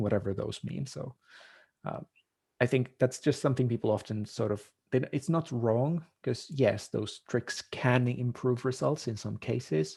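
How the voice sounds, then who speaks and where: With a non-native accent, this speaker talks at a fairly slow pace in a dark, mellow tone, showing vocal fry and ordinary pitch variation. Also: man, medium pitch for a man. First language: not English. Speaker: marketing consultant. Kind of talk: podcast interview.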